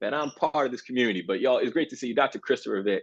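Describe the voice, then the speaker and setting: Over a quiet background, a man speaks with a Baltimore accent. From Baltimore, Maryland, US. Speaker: university program director, former teacher. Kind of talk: panel webinar introduction. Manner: animated, informal.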